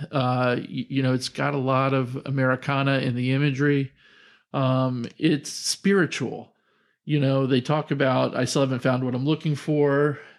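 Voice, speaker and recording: The recording is very clean with a silent background, carrying an ordinary speaking voice at a moderate pace. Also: man, medium pitch for a man. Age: 50s. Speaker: podcast co-host, father of the other host. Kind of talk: casual chat.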